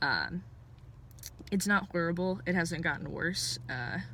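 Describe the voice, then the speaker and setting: Speaking at a fairly slow pace, a woman has a fairly low pitch, a bright, sharp tone with vocal fry, and ordinary pitch variation. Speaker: video blogger. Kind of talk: casual vlog update. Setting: in a parked car. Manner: hesitant, many fillers.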